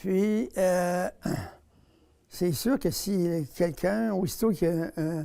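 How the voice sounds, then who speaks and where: A man talks very slowly at a high pitch, with ordinary pitch variation. Long pauses come often. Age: 80s+. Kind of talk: interview.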